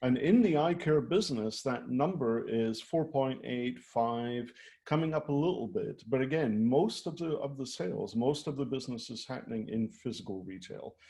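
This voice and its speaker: In a quiet background, a man with a Scottish accent speaks at a moderate pace in a medium-pitched, dark, mellow voice, his intonation lively and his speech almost free of pauses. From Scotland. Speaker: retail design executive. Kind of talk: presentation.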